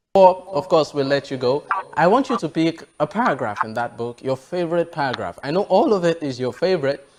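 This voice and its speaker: A man's fairly high voice with a Yoruba accent, lively intonation and a fairly quick pace. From Nigeria. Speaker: TV show host. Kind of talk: interview.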